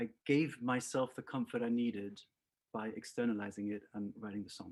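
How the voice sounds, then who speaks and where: With a slight southern English accent, a man speaks at a moderate pace. His intonation stays fairly even. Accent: southern English-tinged. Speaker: singer-songwriter. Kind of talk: interview.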